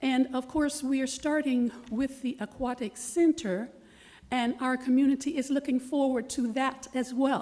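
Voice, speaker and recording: Slowish and fairly even in intonation, a woman speaks in a high voice with a dark, mellow tone. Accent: Florida. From US South, Leesburg, Florida. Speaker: resident speaking at public comment. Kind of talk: public comment at city meeting. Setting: city commission meeting. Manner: formal.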